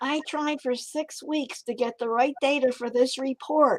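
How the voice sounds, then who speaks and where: A female-sounding put-on character voice, high and whiny. The whiny tone comes at a moderate pace. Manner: whiny, complaining.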